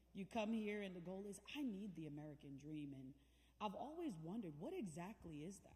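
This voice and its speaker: The voice is somewhat breathy with a dark, mellow tone and a fairly quick pace. Audible room echo surrounds it. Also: woman. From Jamaica (Kingston). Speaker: guest speaker, navy veteran. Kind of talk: inspirational speech. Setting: church event with audience. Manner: conversational, engages audience.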